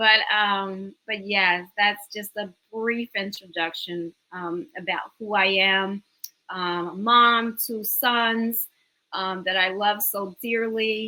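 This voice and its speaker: A woman with a slight New York accent, medium pitch, very slow pace, fairly even intonation, and a bright, sharp tone. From New York City, the Bronx. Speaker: business owner and educator. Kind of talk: interview.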